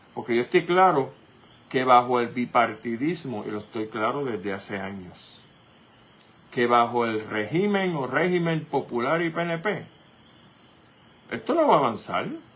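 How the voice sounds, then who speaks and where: Speaking at a fairly slow pace with long, frequent pauses, a man of medium pitch uses lively intonation. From Puerto Rico. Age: 60s. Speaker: radio host. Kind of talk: political commentary. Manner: animated.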